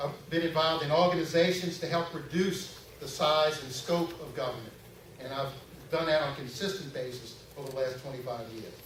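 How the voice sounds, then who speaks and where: A man at a fairly high pitch and a fairly quick pace, with audible room echo and noticeable background noise. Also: ordinary pitch variation. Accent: New Orleans. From Louisiana, Metairie. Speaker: political candidate. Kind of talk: campaign speech. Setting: stage with audience. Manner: halting, frequent fillers.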